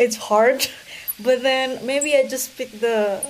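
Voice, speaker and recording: A woman with an Indonesian accent at a very slow pace, ordinary pitch variation, and noticeable background noise. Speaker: researcher. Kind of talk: interview.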